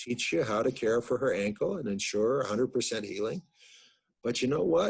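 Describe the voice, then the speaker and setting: Lively intonation marks this man's American accent. His voice is somewhat breathy, over a quiet background. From United States. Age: 60s. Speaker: psychologist and family physician. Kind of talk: lecture.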